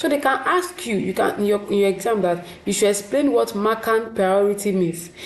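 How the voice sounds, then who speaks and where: There is audible room echo around a woman's speech. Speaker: teacher. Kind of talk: lecture.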